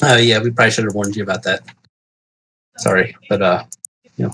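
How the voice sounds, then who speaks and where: A raspy, put-on character voice races along at a very fast pace. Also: man, medium pitch for a man. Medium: actual play. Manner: polite, hospitable.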